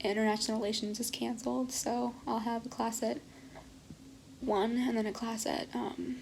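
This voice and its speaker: A woman's fairly high, monotone, flat voice with vocal fry, at a moderate pace and very even loudness. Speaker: college student vlogger. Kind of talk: casual vlog monologue. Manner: whispering.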